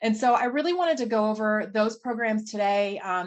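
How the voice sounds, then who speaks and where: A woman's voice with a fairly high pitch. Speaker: state agency policy presenter. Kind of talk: presentation. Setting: video call. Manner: fast.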